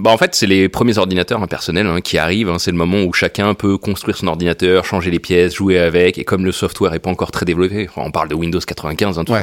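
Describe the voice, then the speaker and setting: A man with a very deep, low pitch at a very fast pace, fairly even intonation and a dry, close sound with no echo. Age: 30s. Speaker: entrepreneur and public speaker. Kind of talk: casual interview.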